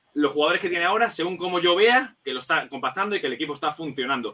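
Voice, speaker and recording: A man speaks with a high pitch and a bright, sharp tone. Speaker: football analyst. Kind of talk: casual chat. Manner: fast.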